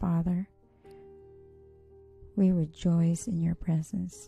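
Over music in the background, a soft-spoken woman talks at a very slow pace, her fairly low voice held in a monotone, flat intonation. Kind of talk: prayer.

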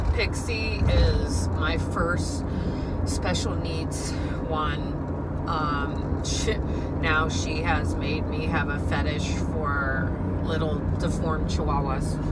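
A woman speaks at a very slow pace with long, frequent pauses and ordinary pitch variation over loud background noise. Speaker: dog owner vlogger. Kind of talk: casual vlog chat. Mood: emotional, upset. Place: car. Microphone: phone near.

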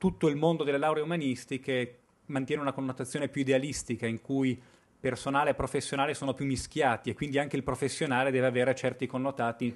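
A man speaks at a very fast pace while his intonation remains fairly even. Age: 30s. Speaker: researcher presenting findings; conference speaker. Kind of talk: conference presentation. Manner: hesitant, with fillers. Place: hall. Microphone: podium.

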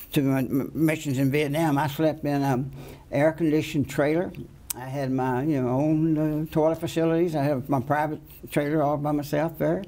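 In a dark, mellow tone, a man speaks with fairly even intonation. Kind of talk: interview answer. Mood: reflective, earnest. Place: studio.

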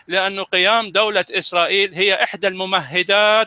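With a raised, projected voice, a man speaks at a high pitch in a bright, sharp tone with fairly even intonation and a dry, close sound with no echo. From Middle East. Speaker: science presenter. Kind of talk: casual educational talk.

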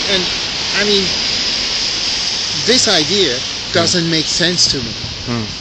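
A man is speaking. The sound is dry with no echo, though the background noise is loud. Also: fairly slow pace. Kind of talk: casual street conversation. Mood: earnest, reflective. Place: street. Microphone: phone near.

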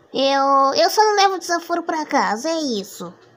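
A cartoonish character voice talks at a high pitch and a moderate pace. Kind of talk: comic cartoon fandub. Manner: indignant, confrontational.

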